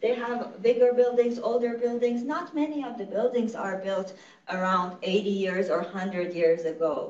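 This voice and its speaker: A woman with an Iranian accent and lively intonation, at a moderate pace, with audible room echo. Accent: Iranian (Persian) accent in English. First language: Farsi. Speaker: nonprofit executive director. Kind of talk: lecture. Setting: conference room with in-person and online audience.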